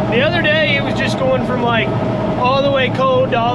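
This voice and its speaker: Loud background noise fills the clip. Over it, a man talks at a fairly quick pace. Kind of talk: casual vlog chat. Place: farm machine. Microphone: phone near.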